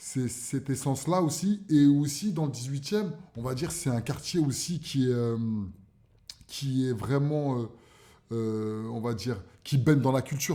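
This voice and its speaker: A man's dark, mellow voice at medium pitch, fairly slow, with ordinary pitch variation and long, frequent pauses. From Paris, 18th arrondissement (Barbès). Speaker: cultural entrepreneur. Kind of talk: radio interview. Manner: hesitant, many fillers.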